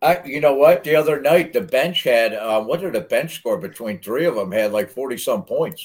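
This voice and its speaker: A man speaks with an American accent at a moderate pace. He leaves hardly any pauses. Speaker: podcast co-host. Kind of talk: casual chat.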